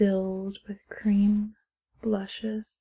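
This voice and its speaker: Soft-spoken and somewhat breathy, a woman talks at a very slow pace. Her tone is gentle, dark and mellow. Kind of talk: ASMR haul / unboxing talk to camera. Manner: soft-spoken, gentle.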